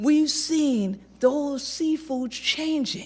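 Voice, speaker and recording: Noticeable noise fills the background. Through it, a woman talks with an American accent. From South Carolina Sea Islands. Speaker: environmental justice advocate. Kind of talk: testimony.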